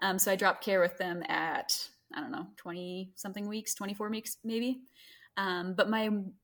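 A plain, everyday voice: a woman with an American accent, medium in pitch, with ordinary pitch variation at a moderate pace. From US South, Greenville, South Carolina. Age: 20s. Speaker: mother sharing birth story. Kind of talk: casual interview, birth story.

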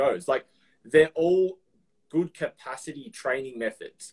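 With an Australian accent, a man talks at a moderate pace in a fairly high pitch. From Melbourne, Australia. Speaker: personal trainer. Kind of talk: casual chat.

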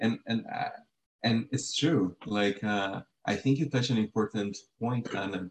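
A man's medium-pitched, ordinary speaking voice at a moderate pace, with ordinary pitch variation. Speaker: podcast co-host, researcher. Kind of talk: interview.

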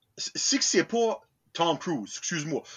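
This man speaks with an Acadian accent. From New Brunswick, Acadian. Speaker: podcast host. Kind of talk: casual chat.

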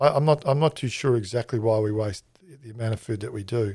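A man's dark, mellow, somewhat breathy voice at medium pitch, with an Australian accent and a fairly quick pace. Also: very clean recording, silent background. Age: 50s. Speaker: chef and catering consultant. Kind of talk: interview. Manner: hesitant, many fillers.

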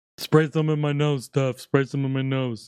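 A man puts on a character voice that sounds nasal, at a medium pitch. He speaks at a moderate pace in a flat monotone. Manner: pleading, comedic.

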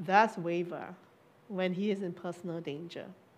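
Noticeable background noise runs behind a woman who speaks at a moderate tempo. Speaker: preacher. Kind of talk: sermon. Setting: church with online audience.

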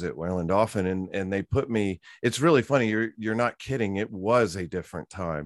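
In an ordinary speaking voice, a man talks at fairly low pitch and a moderate pace with ordinary pitch variation. The sound is dry and close with no echo over a quiet background. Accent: American. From Virginia. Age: 50s. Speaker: former killer whale trainer. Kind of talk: interview.

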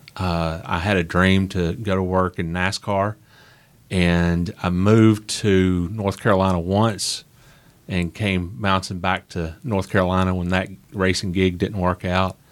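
A man speaks with a Southern US accent at a fairly slow pace, his pitch very deep and low. His intonation is flat and monotone, on a very clean recording with a silent background. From Nashville, Tennessee. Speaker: author and motorsports historian. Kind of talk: interview conversation. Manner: halting, with fillers and repeats.

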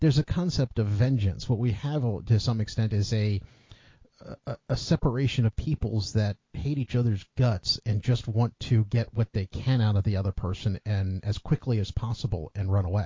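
This man's voice is fairly low and somewhat breathy. He keeps a moderate pace with ordinary pitch variation. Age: middle-aged. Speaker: podcast host. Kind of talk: casual chat.

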